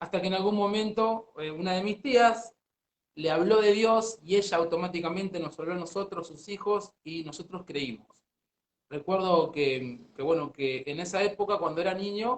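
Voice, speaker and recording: A man speaks with a high voice and ordinary pitch variation. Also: moderate pace. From Argentina, Buenos Aires. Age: 30s. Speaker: pastor. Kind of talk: interview testimony.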